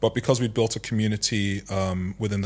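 On a very clean recording with a silent background, a man talks at a fairly quick pace in a somewhat breathy voice. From Nigeria. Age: 30s. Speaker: founder and CEO of a tech consultancy. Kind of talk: casual interview. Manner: calm, measured.

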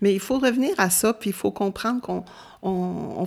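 Someone with a Quebec accent speaks at a moderate pace with ordinary pitch variation. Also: woman. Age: 70s. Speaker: retired volunteer. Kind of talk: interview. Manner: halting.

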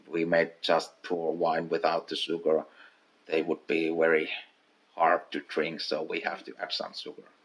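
In a Finnish accent, a man speaks at a fairly slow pace with a very deep, low pitch. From Finland, North Karelia. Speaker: master distiller. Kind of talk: interview. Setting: at the distillery.

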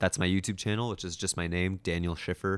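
Over a silent background in a very clean recording, a man with a Toronto accent speaks in a very deep, low pitch with fairly even intonation. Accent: Canadian (Toronto). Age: 20s. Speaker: youtuber and videographer. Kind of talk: casual interview. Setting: indoors with city view.

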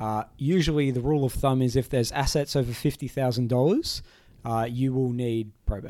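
A man with an Australian accent speaks at a moderate pace with medium pitch. His tone is dark and mellow, with ordinary pitch variation. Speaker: lawyer and podcast host. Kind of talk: casual explanatory chat.

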